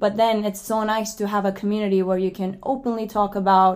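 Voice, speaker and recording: A woman speaks with a Turkish accent. Her intonation is fairly even. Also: very clean recording, silent background. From Turkey. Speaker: podcast co-host, graduate student. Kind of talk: casual chat.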